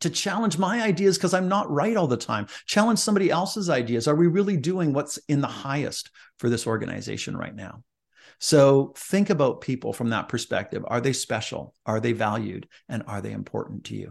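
With a fairly high pitch and vocal fry, a man speaks at a fairly quick pace with very wide pitch swings against a quiet background. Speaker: leadership speaker and author. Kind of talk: interview. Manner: energetic, enthusiastic.

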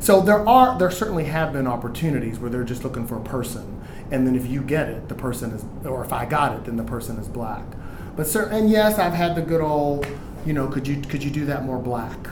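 With an American accent, this fairly quick speaker uses lively intonation, heard over noticeable background noise and audible room echo. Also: man, fairly high pitch for a man. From Houston, Texas. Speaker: Broadway actor and singer. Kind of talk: casual chat.

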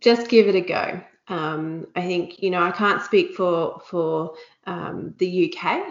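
A woman with an Australian accent speaks at a very slow pace. Her voice sits at a medium pitch with fairly even intonation. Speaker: company territory manager. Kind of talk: casual chat.

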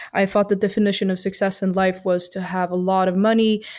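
A woman's medium-pitched voice stays monotone and flat in intonation, captured on a very clean recording with a silent background. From Sweden. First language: Swedish (speaking Spanish). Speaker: entrepreneur. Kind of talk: interview. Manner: hesitant, many fillers.

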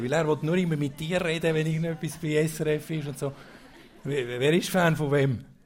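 The fairly high voice of a man comes at a moderate pace, with audible room echo. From central Switzerland, Obwalden. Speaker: event host. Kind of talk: casual stage interview. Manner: halting.

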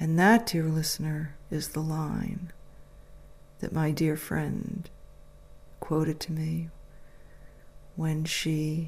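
Speaking with an American accent, a woman with a very deep, low pitch talks at a very slow pace, monotone and flat in intonation and somewhat breathy. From United States. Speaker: podcast host. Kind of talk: reflective monologue with poetry reading. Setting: at home.

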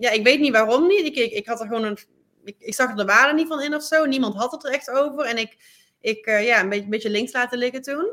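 Talking at a very fast pace, a woman uses a high pitch and a bright, sharp tone with ordinary pitch variation. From Netherlands. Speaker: sports lawyer. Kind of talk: interview. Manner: halting, frequent fillers and repeats.

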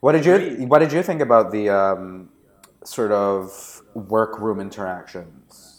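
In a Canadian accent, a man with an ordinary speaking voice talks fairly slowly at a fairly low pitch with lively intonation. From Canada. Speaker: podcast co-host. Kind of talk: casual chat.

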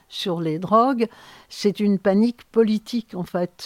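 A woman's medium-pitched voice with fairly even intonation, the sound dry and close with no echo. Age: 70s. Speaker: sociologist. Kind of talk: interview. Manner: halting.

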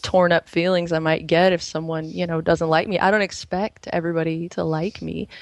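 In a plain, everyday voice, a woman speaks at a fairly low pitch with fairly even intonation. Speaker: caller. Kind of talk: casual chat. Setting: phone call.

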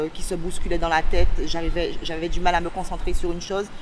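Monotone, flat intonation from a woman, with noticeable noise in the background. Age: 40s. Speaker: person with bipolar disorder sharing experience. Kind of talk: testimony. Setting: outdoors on a beach. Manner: halting.

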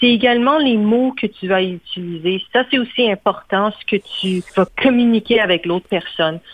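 A woman speaks in an unremarkable speaking voice at a medium pitch. She talks at a moderate pace with lively intonation. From Quebec. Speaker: communications manager. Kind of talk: interview.

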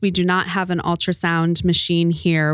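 A woman speaks fairly slowly in a fairly low, unremarkable speaking voice. The recording is very clean, the background silent. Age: 30s. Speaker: pregnancy center worker. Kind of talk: interview.

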